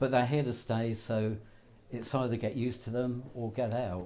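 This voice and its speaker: The man's voice has a dark, mellow tone and a fairly slow pace. Audible room echo hangs around it. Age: 80s+. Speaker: betting shop manager. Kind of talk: interview.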